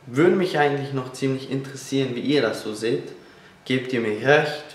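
There is audible room echo as a man speaks with a fairly high pitch. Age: 20s. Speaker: fitness vlogger. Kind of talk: motivational vlog talk. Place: kitchen. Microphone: camera far.

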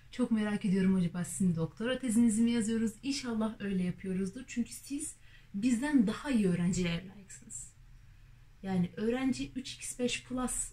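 A woman with a dark, mellow tone speaks at a moderate pace, somewhat breathy and with lively intonation. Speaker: university student vlogger. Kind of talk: comedic rant monologue. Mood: ironic, frustrated humor. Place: home room. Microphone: camera far.

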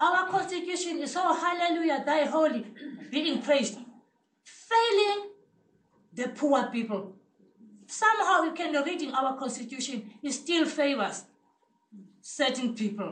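The delivery is animated, with very wide pitch swings and a fairly slow pace. Long, frequent pauses break it up, and room echo is audible. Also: woman, high pitch for a woman. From South Africa, Cape Town townships. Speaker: community health committee member. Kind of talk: impassioned audience comment. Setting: seminar room with audience. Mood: earnest, passionate. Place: meeting room. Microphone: camera far.

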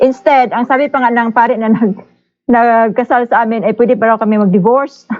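The speech moves at a fairly quick pace, with fairly even intonation and very even loudness. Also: woman. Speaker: caller. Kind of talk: casual chat. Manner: halting.

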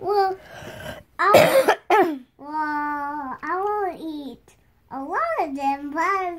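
A female-sounding cartoonish character voice squeaks at an extremely high pitch. It moves very slowly, with long, frequent pauses. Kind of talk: improvised puppet play. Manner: hesitant, playful.

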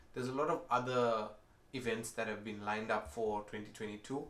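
A man's speech carries a noticeable echo from the room. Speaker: tech youtuber. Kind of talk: casual vlog chat. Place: home room.

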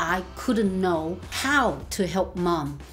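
A voice with a Chinese accent over faint music in the background. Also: woman. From China. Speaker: family carer. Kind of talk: interview answer. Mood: warm, animated. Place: home room.

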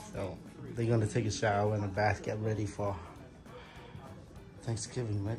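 A man speaks with clear music in the background. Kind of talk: casual vlog chat. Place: home room. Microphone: phone near.

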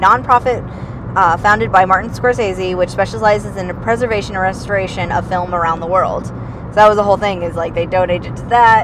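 Noticeable background noise behind a woman's voice, the sound dry with no echo. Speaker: passenger co-host. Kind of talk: casual conversation. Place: car. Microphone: camera far.

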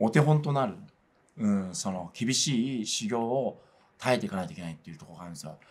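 A man with a medium pitch speaks at a very fast pace. His loudness shifts greatly and his pitch swings very widely. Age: 40s. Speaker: religious organization PR staffer; religious organisation spokesman. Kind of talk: interview. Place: studio.

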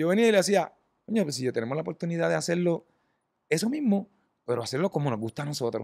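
A man with a Puerto Rican accent, in a dry, close sound with no echo, on a very clean recording with a silent background. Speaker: rock band musician. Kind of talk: casual chat.

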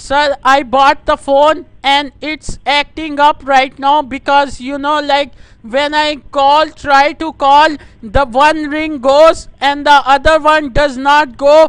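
A man with a South Asian accent speaks at a very slow pace in an extremely high pitch for a man. His intonation is monotone and flat, over a quiet background. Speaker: prank caller; caller. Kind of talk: prank phone call. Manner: loud.

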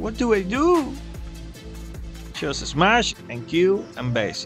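Someone with a non-native accent speaks at a very slow pace over music in the background. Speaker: gamer. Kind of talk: gameplay commentary.

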